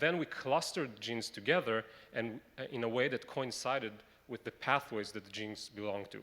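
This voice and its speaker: Speaking in an Israeli accent, a man uses a bright, sharp tone at a medium pitch with fairly even intonation. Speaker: medical researcher. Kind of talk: conference presentation. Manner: halting.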